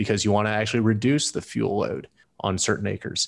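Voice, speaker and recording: Very fast speech from a man with an American accent and a fairly low pitch, on a very clean recording with a silent background. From US South, Louisville, Kentucky. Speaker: startup co-founder. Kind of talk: interview. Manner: halting, frequent repetitions.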